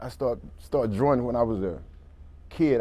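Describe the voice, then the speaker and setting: A man talks at medium pitch in a dark, mellow tone. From US South, Georgia (Americus). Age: 60s. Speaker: formerly homeless artist. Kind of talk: talk show interview.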